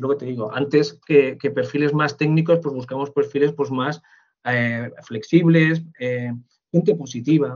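This man has a normal speaking voice, a fairly high pitch, ordinary pitch variation, and a moderate pace. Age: 40s. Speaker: human resources manager. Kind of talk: interview.

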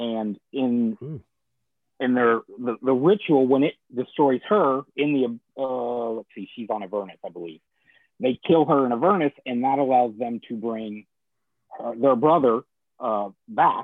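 Speaking at medium pitch, the man has an unremarkable speaking voice with ordinary pitch variation. His loudness swings widely. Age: 40s. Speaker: comic shop owner and blogger. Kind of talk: casual chat. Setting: live stream.

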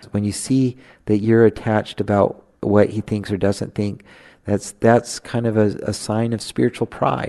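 In a quiet background with a dry, close sound and no echo, a man speaks at a fairly slow pace with a fairly low pitch, fairly even intonation and a dark, mellow tone. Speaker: theologian and spiritual writer. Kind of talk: spiritual teaching conversation. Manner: hesitant fillers.

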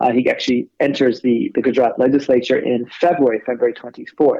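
A man talks with a Californian accent. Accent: American, Californian. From California, US. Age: 40s. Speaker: academic and writer on India. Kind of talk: interview discussion.

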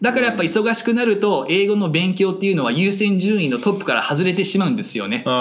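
Talking at a very fast pace with hardly any pauses, a man uses a high pitch and lively intonation, with noticeable background noise and audible room echo. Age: 30s. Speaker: English conversation school founder. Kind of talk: interview. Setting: studio.

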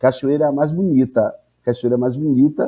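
A man speaks with a Bahian accent at a fairly quick pace. His pitch sits fairly high. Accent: Bahian Brazilian Portuguese. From Salvador, Bahia, Brazil. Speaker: professor and anthropologist. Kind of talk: interview.

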